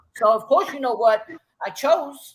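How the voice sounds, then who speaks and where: A woman with a Brooklyn accent, animated in tone, at a moderate pace. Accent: New York (Brooklyn). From Brooklyn, New York. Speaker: breakdancer. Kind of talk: casual interview chat. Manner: loud.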